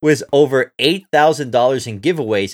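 A man speaks at a moderate pace. His tone is fairly bright.

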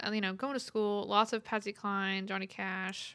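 In a Texan accent, a woman speaks at a medium pitch with monotone, flat intonation on a very clean recording with a silent background. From West Texas, rural ranch. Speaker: singer-songwriter. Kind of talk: casual interview chat.

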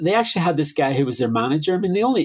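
A man with a Derry accent talks very fast in a high voice, his pitch swinging very widely. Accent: Northern Irish, Derry. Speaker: musician and DJ. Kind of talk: casual interview.

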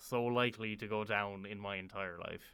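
With an Irish accent, a man talks at a moderate pace in a bright, sharp tone and monotone, flat intonation. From Ireland. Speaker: university student and traveller. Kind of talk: casual storytelling interview.

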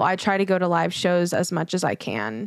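In a plain, everyday voice of medium pitch, a woman talks at a moderate pace with an American accent. The sound is dry and close, with no echo. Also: very clean recording, silent background. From Houston, Texas. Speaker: singer and recording artist. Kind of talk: casual interview.

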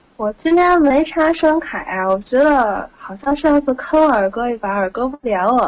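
A woman talks in a high voice with lively intonation at a moderate pace, while noticeable background noise carries on behind her. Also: hardly any pauses. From Tianjin. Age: 20s. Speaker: caller. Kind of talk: casual chat. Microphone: poor mic, no sound card plugged in.

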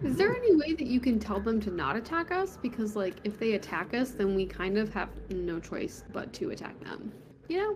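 Over noticeable background noise, a woman moves at a moderate pace with very wide pitch swings. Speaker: player in the game. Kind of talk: casual tabletop roleplaying game chat. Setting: online video call.

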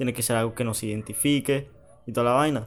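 A man speaks at medium pitch. The rise and fall of his voice is ordinary. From Panama. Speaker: podcast co-host. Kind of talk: casual chat.

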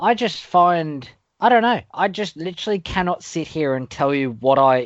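A man speaks at a moderate pace with an Australian accent. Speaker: gaming podcast co-host. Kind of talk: casual chat.

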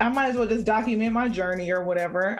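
This woman has a plain, everyday voice, pitched in the medium range, with ordinary pitch variation. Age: 20s. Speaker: gamer and streamer. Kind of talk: casual chat.

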